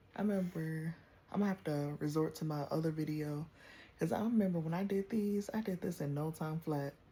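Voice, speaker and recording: A woman's very deep, low voice, somewhat breathy with a dark, mellow tone, moves at a fairly quick pace with ordinary pitch variation. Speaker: vlogger. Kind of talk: casual chat.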